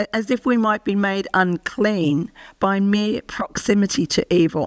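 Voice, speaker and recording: A woman speaks with an Australian accent at a medium pitch. The sound is dry and close, with no echo. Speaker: professor and medical ethicist. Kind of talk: lecture. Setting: presentation to an audience. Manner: formal.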